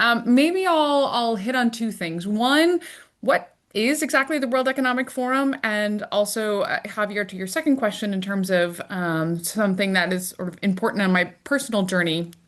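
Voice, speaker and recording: A woman with an American accent talks at a moderate pace in a fairly high pitch. Her intonation is lively, and she hardly pauses at all. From United States. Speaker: international organization executive. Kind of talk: panel interview. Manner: hesitant with frequent fillers.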